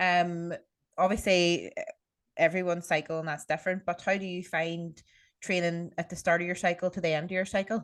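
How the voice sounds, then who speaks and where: Over a quiet background, a woman speaks at a fairly quick pace with a fairly low pitch and monotone, flat intonation. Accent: Irish. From Ireland. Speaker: podcast host. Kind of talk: casual chat. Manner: fast.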